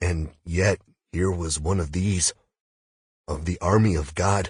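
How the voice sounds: The put-on character voice has a husky, rough edge. It moves at a slow pace with fairly even intonation. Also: man, low pitch for a man, slightly mellow tone.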